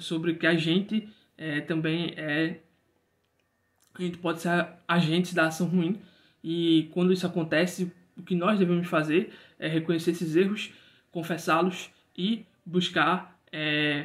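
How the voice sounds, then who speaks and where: High-pitched for a man, the speaker goes at a fairly slow pace with long, frequent pauses, in a very clean recording with a silent background. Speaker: book reviewer. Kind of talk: casual book review monologue. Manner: hesitant, many fillers and repetitions.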